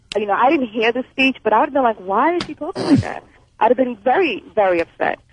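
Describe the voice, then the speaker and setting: Very fast and high-pitched, a woman speaks with lively intonation. The sound is dry and close with no echo, though there is noticeable background noise. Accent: American. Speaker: caller. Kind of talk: call-in radio talk. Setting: phone call. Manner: formal, careful diction.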